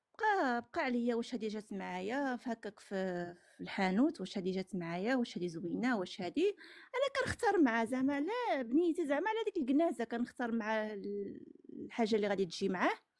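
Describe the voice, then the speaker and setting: A woman with a Moroccan accent talks at a fairly quick pace in a fairly high pitch, her voice swinging very widely up and down. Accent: regional Moroccan dialect recognizable. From Morocco. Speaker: caller sharing personal story. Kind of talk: testimony. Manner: halting.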